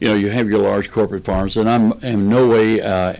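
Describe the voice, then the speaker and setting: The speaker has a Kentucky accent and fairly even intonation. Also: man. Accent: Kentucky Southern US. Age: 60s. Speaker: political candidate and farmer. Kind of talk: radio interview.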